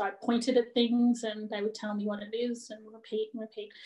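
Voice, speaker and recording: Against noticeable background noise, a woman with an Australian accent speaks in a fairly high, monotone voice with flat intonation. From Australia, Bendigo, Victoria. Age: 30s. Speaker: cultural awareness advocate. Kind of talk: personal talk at a panel session.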